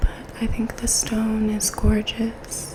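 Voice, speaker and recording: Against noticeable background noise, a woman whispers at a very slow pace. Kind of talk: ASMR show and tell. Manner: soft-spoken.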